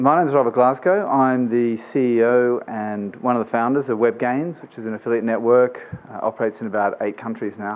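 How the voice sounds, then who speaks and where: At a fairly quick pace with hardly any pauses, a man of medium pitch and ordinary pitch variation talks amid noticeable background noise, his loudness swinging widely. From Australia. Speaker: business executive, conference speaker. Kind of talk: conference presentation. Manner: informal, with many fillers.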